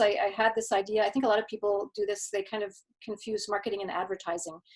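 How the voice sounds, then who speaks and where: Speaking at a fairly quick pace, a woman talks with a Canadian accent. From Quebec, Canada. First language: German. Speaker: marketing consultant. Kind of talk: interview. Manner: halting, many repeated words.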